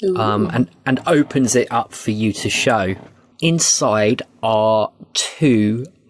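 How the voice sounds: Speech in a natural reading voice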